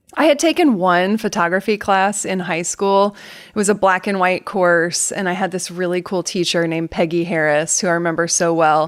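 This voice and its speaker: Here a woman talks with an American accent. Her pace is moderate and her pitch varies in an ordinary way. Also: medium pitch for a woman, hardly any pauses. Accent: Southern US, comes out occasionally. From US South, Atlanta, Georgia. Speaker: photographic artist. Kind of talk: interview. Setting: podcast.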